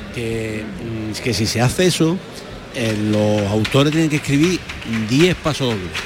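Through noticeable background noise, a man speaks at a medium pitch and a fairly slow pace, with lively intonation and long, frequent pauses. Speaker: carnival commentator. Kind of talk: live radio commentary. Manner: halting.

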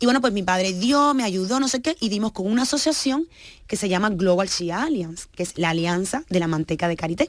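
A woman's ordinary speaking voice, fairly quick in pace and lively in intonation, on a very clean recording with a silent background. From Cuba, of Guinea-Bissau parents. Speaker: business founder. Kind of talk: radio interview.

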